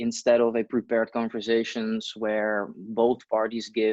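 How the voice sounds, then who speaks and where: A man speaks with a non-native accent at a moderate pace. The sound is dry and close with no echo. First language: not English. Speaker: interviewer. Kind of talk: interview.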